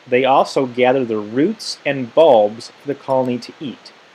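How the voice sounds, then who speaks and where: This man talks against noticeable background noise. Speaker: teacher. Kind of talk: tutorial.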